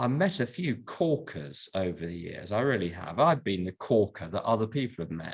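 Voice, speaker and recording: A man with a London accent speaks at a moderate pace in a fairly low pitch, with very wide pitch swings. He leaves hardly any pauses. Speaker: AA speaker. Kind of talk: talk to recovery meeting. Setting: video call.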